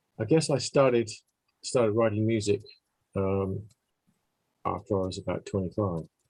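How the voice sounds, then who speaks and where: Taking long, frequent pauses, a man with an English accent speaks at a moderate pace with ordinary pitch variation. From England. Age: 70s. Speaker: musician. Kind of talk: interview. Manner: halting.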